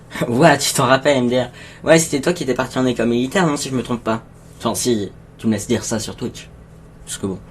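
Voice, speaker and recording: A man at medium pitch speaks at a very fast pace, somewhat breathy, with ordinary pitch variation. Long, frequent pauses break up his speech. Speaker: streamer. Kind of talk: live stream chat with viewers. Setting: home live stream. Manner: halting; soft-spoken.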